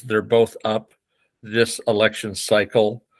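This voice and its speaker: A man's fairly low voice with a Pacific Northwest accent, on a very clean recording against a silent background. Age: 70s. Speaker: fire commissioner and election candidate. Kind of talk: interview. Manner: halting, with many fillers.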